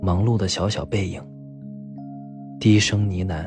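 With music in the background, a man speaks in a gentle tone at a fairly low pitch. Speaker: bedtime story narrator. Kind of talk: bedtime story, sweet talk. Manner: soft, gentle, slow.

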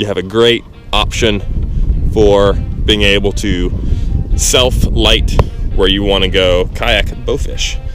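A man over clear music in the background, dry sound with no echo. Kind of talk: tutorial. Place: waterside. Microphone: phone near.

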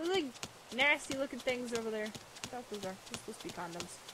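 Noticeable background noise accompanies speech delivered at a fairly quick rate. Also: woman, dry sound with no echo. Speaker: gaming video host. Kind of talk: casual let's play commentary. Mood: amused, bemused.

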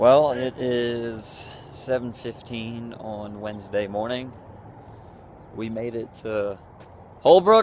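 Light background noise sits under a man's voice, which has a dry sound with no echo. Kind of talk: casual vlog chat. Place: street. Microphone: phone near.

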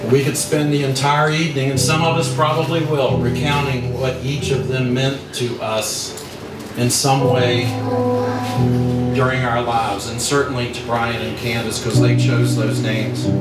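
Music plays and room echo is audible as a man talks at a moderate pace. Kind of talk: wedding toast speech. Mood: emotional, tender remembrance. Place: hall.

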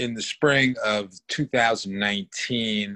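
Fairly low in pitch, a man speaks with fairly even intonation and a bright, sharp tone. The background is quiet, and the sound is dry with no echo. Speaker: guest. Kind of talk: interview answer. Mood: earnest advocacy. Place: home room. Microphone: video call.

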